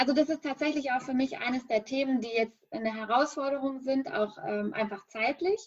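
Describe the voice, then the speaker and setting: A woman speaks at a moderate pace with a high pitch. Her pitch moves in an ordinary way, and she hardly pauses at all. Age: 30s. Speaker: business founder. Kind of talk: interview.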